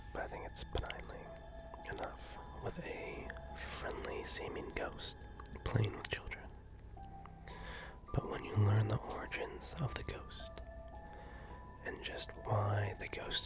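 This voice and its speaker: Someone whispers at a fairly slow pace with long, frequent pauses while music plays in the background. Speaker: ASMR streamer reading horror stories. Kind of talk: ASMR story reading. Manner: soft-spoken, casual.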